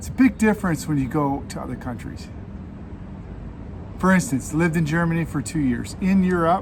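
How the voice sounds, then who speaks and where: A fairly high-pitched man with an American accent, long and frequent pauses, and noticeable background noise. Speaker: cycling vlogger. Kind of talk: casual vlog monologue. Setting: outdoors. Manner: loud.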